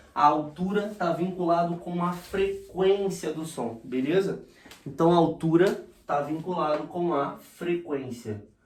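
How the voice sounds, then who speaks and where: A man speaks at a very slow pace in a high pitch. Noticeable background noise runs underneath. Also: ordinary pitch variation. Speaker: physics teacher. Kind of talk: lecture. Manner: animated.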